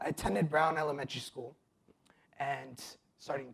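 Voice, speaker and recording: A somewhat breathy man's voice with an American accent, fairly high in pitch, at a moderate pace. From Nevada, US (adopted from abroad). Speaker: testimony speaker. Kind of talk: testimony.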